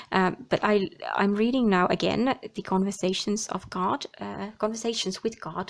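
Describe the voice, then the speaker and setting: The speaker talks with a Finnish accent and ordinary pitch variation. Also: woman. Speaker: tarot and oracle card reader. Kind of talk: card reading monologue. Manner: halting.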